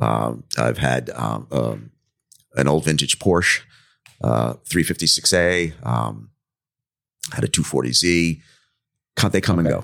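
A man's very deep, low voice with vocal fry and lively intonation, very slow with long, frequent pauses, at very even loudness. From Long Island, New York (born in the Bronx). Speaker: workers' compensation attorney. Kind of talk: casual interview. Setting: filmed at a conference venue. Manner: hesitant, many fillers.

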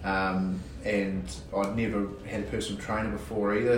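A man with a New Zealand accent speaks at a very slow pace, fairly low in pitch. Audible room echo and noticeable background noise are present. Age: 30s. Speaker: police detective, contest winner. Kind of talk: interview. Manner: halting, many fillers.

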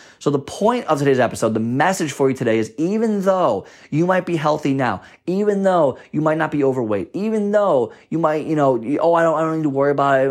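An ordinary speaking voice moves at a fairly quick pace with lively intonation and hardly any pauses. The background is quiet. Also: man, fairly high pitch for a man. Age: 20s. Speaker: fitness and nutrition podcast host. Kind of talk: solo podcast monologue. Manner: casual, conversational.

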